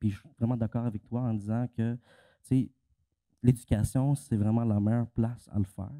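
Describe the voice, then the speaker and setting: In a Quebec accent, a man speaks at a fairly slow pace and medium pitch, monotone and flat, with a dark, mellow tone. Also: dry, close sound with no echo. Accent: Québécois French. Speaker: panelist. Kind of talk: panel discussion. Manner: halting.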